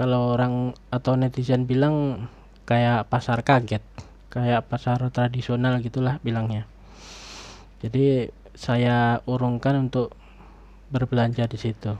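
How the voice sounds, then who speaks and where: Soft-spoken and at a fairly slow pace, a man with a medium pitch and dark, mellow tone talks in a monotone, flat intonation with long, frequent pauses. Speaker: YouTuber reviewing online shopping. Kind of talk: casual personal review. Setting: home recording late at night.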